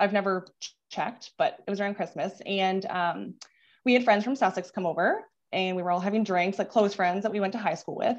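A woman speaks in a normal speaking voice at medium pitch, fairly quickly. The background is quiet. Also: ordinary pitch variation. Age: 30s. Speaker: nurse. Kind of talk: personal testimony. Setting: video call.

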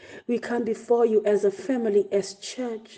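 Over noticeable background noise, a woman with a fairly high pitch speaks in a flat monotone at a fairly slow pace. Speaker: church pastor leading prayer. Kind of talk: fervent prayer, intercessory, after a scripture reading. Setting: online devotion broadcast to congregation. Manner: fervent, earnest, imploring; rhythmic, repeating phrases with rising intensity.

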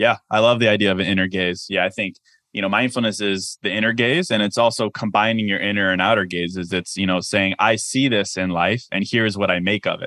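A man speaks at a fairly quick pace with fairly low pitch, a plain, everyday voice, fairly even intonation and hardly any pauses. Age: 30s. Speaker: podcast host and author. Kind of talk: interview.

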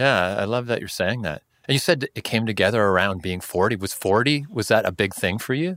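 A man talks at a fairly quick pace with hardly any pauses, in a fairly low pitch. He has an ordinary speaking voice and lively intonation. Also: very clean recording, silent background. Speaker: podcast host. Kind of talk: casual interview conversation.

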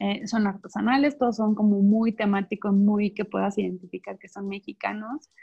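A woman with a somewhat breathy voice speaks at a moderate pace with hardly any pauses. Her intonation is fairly even, though her loudness swings widely. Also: medium pitch for a woman. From Mexico, Chiapas. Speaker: founder of a pet adoption project. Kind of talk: casual interview chat.

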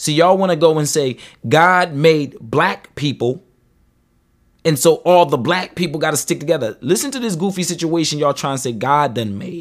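On a very clean recording with a silent background, a man with a fairly high pitch sounds animated, his pitch varying in an ordinary way. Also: moderate pace. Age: 30s. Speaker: podcast host. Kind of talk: casual chat.

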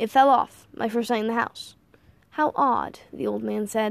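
The voice reads in a natural way. It is a natural reading voice throughout.

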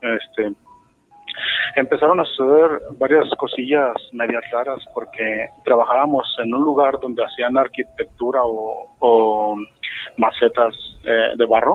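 The delivery is very slow. Intonation is fairly even throughout. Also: man, medium pitch for a man. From Mexico, Guadalajara. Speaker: caller. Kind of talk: phone call storytelling.

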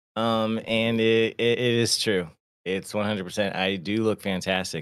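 A man with an unremarkable speaking voice talks at a fairly slow pace and fairly low pitch in a very clean recording with a silent background. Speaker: podcast co-host, Navy veteran. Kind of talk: casual podcast chat. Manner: casual, swears often.

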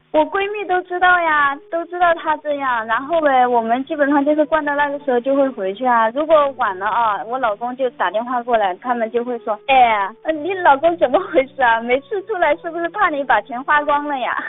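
A woman with a high pitch, lively intonation and hardly any pauses. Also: moderate pace. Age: 20s. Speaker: radio call-in caller, shop assistant. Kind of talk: radio call-in personal story.

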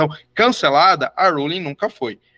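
A man with a fairly high pitch and a bright, sharp tone is heard in a dry, close sound with no echo. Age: 30s. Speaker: historian. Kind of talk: educational discussion.

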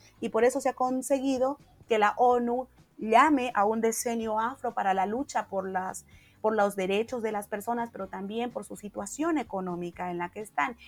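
In a Santa Cruz Bolivian accent, a woman speaks at a moderate pace with a fairly high pitch and ordinary pitch variation. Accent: Santa Cruz (Camba) Bolivian Spanish. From Bolivia, Santa Cruz. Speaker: social activist. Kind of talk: interview conversation.

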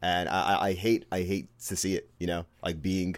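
A man speaks with a Brooklyn accent in a very deep, low voice. The recording is very clean, with a silent background. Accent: Brooklyn New York. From Brooklyn, New York. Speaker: podcast co-host guest. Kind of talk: casual chat.

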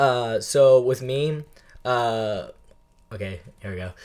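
Here a man with an American accent speaks in an ordinary speaking voice at a medium pitch with ordinary pitch variation. The recording is very clean and the background silent. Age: 19. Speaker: podcast guest. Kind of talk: casual chat. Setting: studio.

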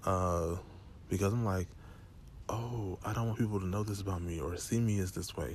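The speaker is a man. His pitch sits fairly low. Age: young. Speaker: podcast host. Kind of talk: personal monologue. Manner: casual.

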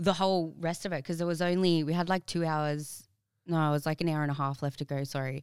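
An Australian accent at a very fast pace, fairly even in intonation, on a very clean recording with a silent background. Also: woman, very deep, low pitch for a woman. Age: 20s. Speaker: personal trainer and fitness competitor. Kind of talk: casual chat.

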